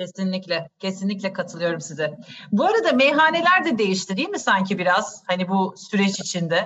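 Speaking at a fairly quick pace, a woman uses a plain, everyday voice at a medium pitch with lively intonation. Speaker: podcast host and wine educator. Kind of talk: interview, informative conversation. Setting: video call.

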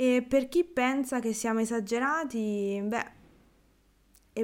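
In a very clean recording with a silent background, a woman speaks at a fairly slow pace in a relaxed tone, her fairly high pitch showing ordinary variation. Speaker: Italian language teacher podcaster. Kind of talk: casual Q&A monologue.

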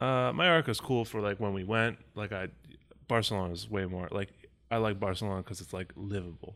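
The man has an ordinary speaking voice with a fairly low pitch and an American accent. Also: ordinary pitch variation, fairly quick pace. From Chicago. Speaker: podcast co-host. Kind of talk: casual chat.

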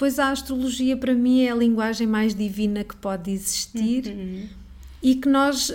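A woman with a plain, everyday voice, fairly high pitched, at a fairly slow pace with fairly even intonation. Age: 40s. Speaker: astrologer. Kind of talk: interview.

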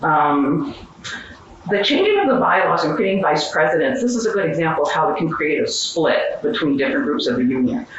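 A woman with a fairly low pitch speaks at a fairly quick pace, her pitch swinging very widely while her loudness stays very even, amid noticeable background noise and audible room echo. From Western Pennsylvania. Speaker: history professor and union leader. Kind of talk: conference panel talk. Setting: stage with audience.

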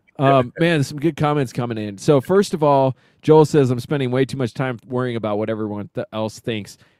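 In a plain, everyday voice, a man talks at a fairly quick pace with hardly any pauses, medium pitch and ordinary pitch variation, recorded with a dry, close sound and no echo. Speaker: podcast co-host. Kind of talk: casual banter, political talk. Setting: live stream with chat.

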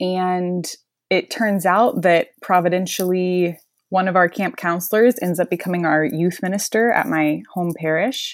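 A plain, everyday voice from a woman, medium pitch, American accent, fairly slow pace, very clean recording with a silent background. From US South, northwest Florida. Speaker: medical student. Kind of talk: interview.

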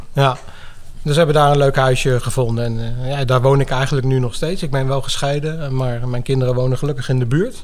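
With a slight The Hague accent, a man talks at a fairly quick pace and medium pitch, with fairly even intonation. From Netherlands, The Hague. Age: 50s. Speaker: software developer. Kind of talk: interview.

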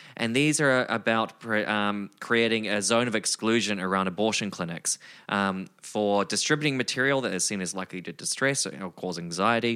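A man with a New Zealand accent, fairly low in pitch, bright and sharp in tone, at a moderate pace with ordinary pitch variation. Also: very clean recording, silent background. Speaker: podcast co-host. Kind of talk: casual conversation.

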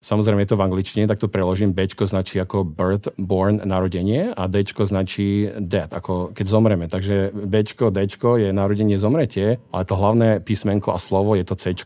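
A man talks in a dark, mellow tone at a fairly low pitch. His intonation is monotone and flat, at a moderate pace with hardly any pauses. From Slovakia, Martin. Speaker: business executive. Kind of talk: radio interview. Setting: studio.

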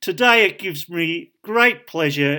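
A man with an Australian accent speaks very slowly in a high, raised and projected voice, his intonation lively, on a very clean recording with a silent background. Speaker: podcast host. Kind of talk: podcast intro.

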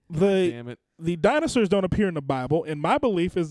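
An animated tone at a fairly quick pace, with a dry, close sound and no echo. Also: man. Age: 30s. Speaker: podcast host. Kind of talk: casual chat. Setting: home basement studio.

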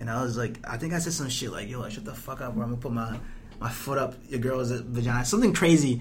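A man speaks at a medium pitch and a very fast clip, his pitch moving in an ordinary way, with noticeable background noise behind him. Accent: American. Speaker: podcast co-host, college student. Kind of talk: casual comedic banter. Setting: library. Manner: profane, jokey.

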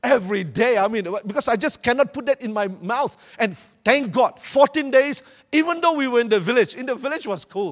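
Speaking at a fairly quick pace with a Malaysian accent, a man uses an animated tone and lively intonation in a dry, close sound with no echo. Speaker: preacher. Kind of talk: sermon. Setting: church with audience. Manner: animated, humorous.

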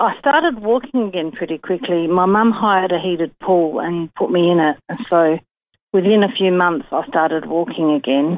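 A woman speaks in a normal speaking voice, fairly low in pitch at a moderate pace. Her intonation is lively. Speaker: stroke survivor. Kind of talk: personal testimony. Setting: phone call.

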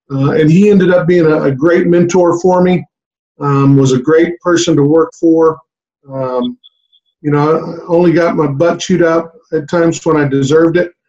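Man with a high yet dark, mellow voice, fairly even intonation and a moderate pace. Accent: Texan. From South Texas. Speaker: high school basketball coach. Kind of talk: casual interview chat.

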